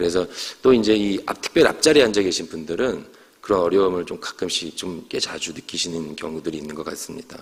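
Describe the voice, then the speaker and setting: A man's very deep, low voice at a very fast pace, with ordinary pitch variation and big swings in loudness. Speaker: pastor. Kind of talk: sermon. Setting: church.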